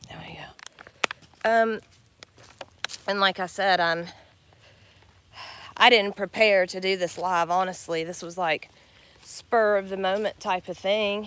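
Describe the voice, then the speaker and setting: With an American accent, a woman speaks at a fairly slow pace and medium pitch, her intonation fairly even, her loudness swinging widely, with long, frequent pauses. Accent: Southern US twang, comes out now and then. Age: 40s. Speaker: vlogger with chronic illness. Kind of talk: casual live vlog. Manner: halting, many fillers.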